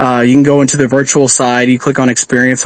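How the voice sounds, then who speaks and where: A man talks at a very fast pace and medium pitch. He has a slight Texan accent and monotone, flat intonation. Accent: Texan twang, slight. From Texas. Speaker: truck driver and crypto community admin. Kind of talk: podcast interview. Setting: live audio chat space. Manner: hesitant, many fillers.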